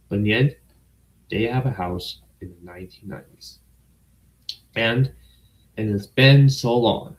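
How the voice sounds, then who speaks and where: A man with an American accent, medium pitch, ordinary pitch variation, moderate pace, a somewhat breathy quality, big swings in loudness, and long, frequent pauses. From United States. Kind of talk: casual livestream talk to camera.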